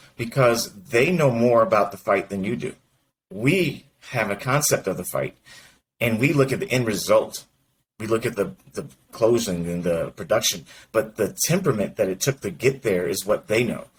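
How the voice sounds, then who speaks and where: Somewhat breathy and medium in pitch, a man speaks with very wide pitch swings and long, frequent pauses. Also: moderate pace. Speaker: mortgage industry executive and coach. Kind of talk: interview conversation. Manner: mumbles slightly.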